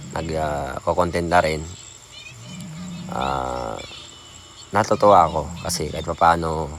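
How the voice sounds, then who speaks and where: Soft-spoken and very deep, a man talks at a fairly slow pace with long, frequent pauses over noticeable background noise. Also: ordinary pitch variation. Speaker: small content creator. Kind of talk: casual vlog talk. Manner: soft, lowered voice; halting.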